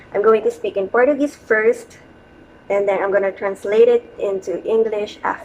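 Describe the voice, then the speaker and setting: At a moderate pace, a woman with a Filipino accent speaks in a fairly high pitch with ordinary pitch variation. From Philippines, Quezon City, Metro Manila. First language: Tagalog. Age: 30s. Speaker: vlogger. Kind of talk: casual vlog monologue. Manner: hesitant, with fillers.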